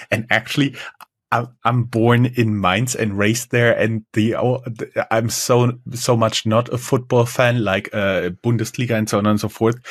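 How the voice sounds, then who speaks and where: A man's medium-pitched voice with a German accent, in a monotone, flat intonation at a moderate pace with very even loudness. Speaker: podcast host. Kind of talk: interview.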